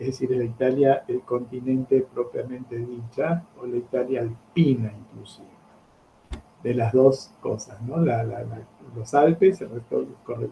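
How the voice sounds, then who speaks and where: Speaking at a fairly slow pace, a man with a medium pitch keeps his intonation fairly even while his loudness swings widely. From Argentina, Buenos Aires. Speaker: geography teacher. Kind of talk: lecture.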